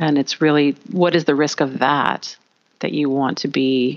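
Her pitch is very deep and low for a woman, with ordinary variation. She speaks at a moderate pace. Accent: Canadian. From Canada. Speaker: communication trainer for auditors. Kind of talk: interview. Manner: enthusiastic.

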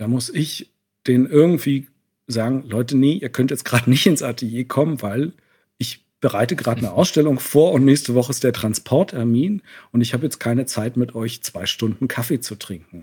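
A man's somewhat breathy, dark, mellow voice at a medium pitch, with ordinary pitch variation and a moderate pace. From East Germany, Leipzig and East Berlin. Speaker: painter, visual artist. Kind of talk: interview. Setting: remote call from Berlin.

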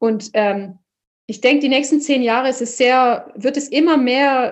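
A woman is speaking. Her voice is high-pitched. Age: 30s. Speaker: opera singer. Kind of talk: interview.

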